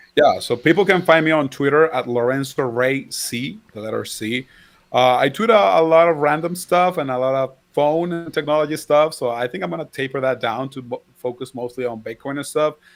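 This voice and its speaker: Over music in the background, a fairly high-pitched man with a Spanish accent talks with hardly any pauses. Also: ordinary pitch variation, fairly quick pace. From Venezuela. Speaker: crypto commentator. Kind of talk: casual chat.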